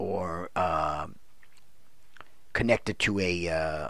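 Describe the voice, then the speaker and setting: A man's very deep, low voice, dry with no echo, over a quiet background. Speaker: video creator. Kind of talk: casual unboxing vlog chat. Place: home room. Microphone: studio mic.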